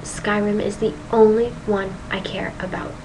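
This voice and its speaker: Audible room echo and noticeable background noise accompany a woman as she speaks. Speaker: gaming vlogger. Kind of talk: casual video monologue. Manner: animated.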